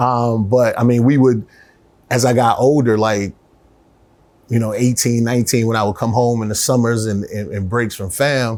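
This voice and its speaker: Speaking at a moderate pace, a man with medium pitch keeps a fairly even intonation. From Miami, Florida (US South). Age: 40s. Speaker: city council candidate and educator. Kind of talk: casual interview chat.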